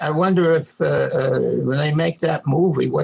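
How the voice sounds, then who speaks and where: Here a man speaks with a New York accent. His pace is moderate. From New York City. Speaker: World War II veteran. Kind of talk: interview answer.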